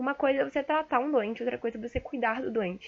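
Her pitch is high for a woman, with ordinary variation. She speaks at a fairly quick pace. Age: young. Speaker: medical student. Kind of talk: solo monologue podcast. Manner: hesitant, many fillers.

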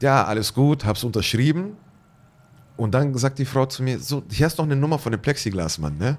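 A man's unremarkable speaking voice, medium in pitch, with lively intonation at a moderate pace. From Bavarian Swabia, near Ulm (Germany). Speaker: artist. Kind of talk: interview.

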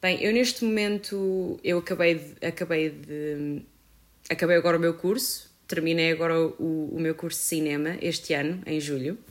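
A woman with a fairly low pitch, a normal speaking voice, ordinary pitch variation and a moderate pace. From Portugal, Viseu. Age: 20s. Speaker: photographer and filmmaker. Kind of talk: casual chat.

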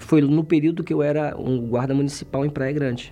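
With noticeable background noise behind him, a man talks fairly quickly at a medium pitch. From Brazil, interior of Bahia. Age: 40s. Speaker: military policeman. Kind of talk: testimony.

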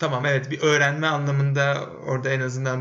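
Audible room echo surrounds the voice. The delivery keeps a moderate pace. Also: man. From Turkey, Bursa. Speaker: podcast co-host, men's circle facilitator. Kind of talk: casual interview chat.

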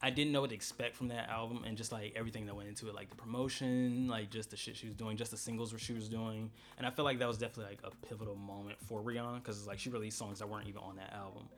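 Over noticeable background noise, a man speaks very fast in a monotone, flat intonation, with hardly any pauses. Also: medium pitch for a man. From Florida (St. Petersburg). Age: 20s. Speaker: podcast co-host. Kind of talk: casual chat. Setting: studio.

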